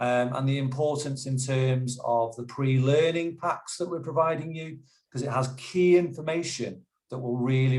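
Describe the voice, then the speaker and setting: A man talks in a medium pitch with a somewhat breathy voice. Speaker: youth development manager in health careers. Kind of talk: webinar presentation. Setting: video call webinar.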